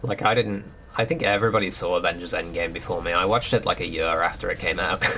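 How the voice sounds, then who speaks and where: Noticeable noise sits in the background. A man talks very fast over it. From northern England. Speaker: video game streamer. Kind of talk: casual chat. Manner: casual, hesitant with many fillers.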